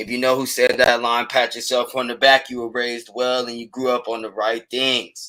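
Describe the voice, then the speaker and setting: A man at medium pitch, bright and sharp in tone, at a moderate pace with hardly any pauses and big swings in loudness. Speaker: sports podcast host. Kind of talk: casual sports commentary. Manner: animated.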